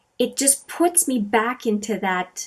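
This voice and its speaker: Somewhat breathy, a woman speaks at a very slow pace with lively intonation. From Canada, Manitoba (Franco-Manitoban). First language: French. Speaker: beauty vlogger. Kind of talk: casual chat. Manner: hesitant, many fillers.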